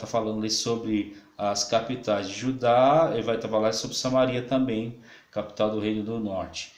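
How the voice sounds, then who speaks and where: The pace is moderate and the intonation fairly even. Room echo can be heard. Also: man. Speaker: pastor and Bible teacher. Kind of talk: lecture. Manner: halting, many fillers.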